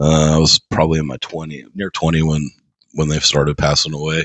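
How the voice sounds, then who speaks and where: A quiet voice at a moderate pace. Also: man. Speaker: podcast co-host. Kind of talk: casual chat.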